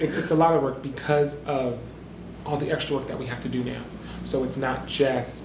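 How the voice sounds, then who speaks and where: Through noticeable background noise and audible room echo, a man speaks fairly quickly at a medium pitch in a monotone, flat way. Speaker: singing contestant. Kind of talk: interview. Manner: loud.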